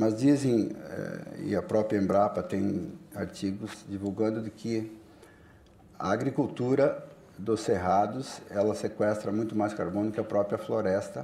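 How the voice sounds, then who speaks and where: Here a man speaks fairly low in pitch. His pace is fairly slow, with ordinary pitch variation. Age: 60s. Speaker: politician and farmer. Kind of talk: panel discussion. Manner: halting.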